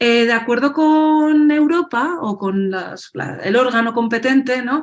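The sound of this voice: A woman speaks at a fairly slow pace. Her pitch is fairly high, with ordinary variation.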